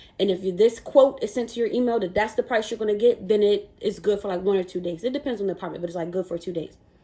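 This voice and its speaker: With an animated tone, a woman races along at a very fast pace with hardly any pauses, her medium pitch showing ordinary variation over noticeable background noise. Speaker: YouTuber vlogger. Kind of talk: casual vlog storytelling.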